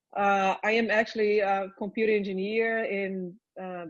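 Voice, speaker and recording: A woman with a Portuguese accent, monotone and flat in intonation, against a quiet background. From Brazil. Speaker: research company executive. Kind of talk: panel discussion.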